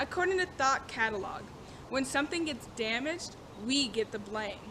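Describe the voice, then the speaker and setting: A woman uses a raised, projected voice at a high pitch, swinging very widely. Her pace is moderate. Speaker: student. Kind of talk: class informative speech. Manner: stuttering.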